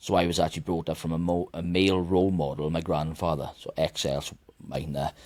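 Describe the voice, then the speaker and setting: Speaking very fast with a Welsh accent, a man uses a very deep, low pitch and fairly even intonation. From Wales. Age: 30s. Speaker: mental health advocate and author. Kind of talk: podcast interview. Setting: studio.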